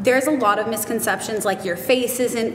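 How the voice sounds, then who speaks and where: A woman speaks with fairly even intonation over light background noise, with audible room echo. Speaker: cosmetics retail worker and nutrition student. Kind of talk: interview answer. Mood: open, warm, sometimes emotional. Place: studio.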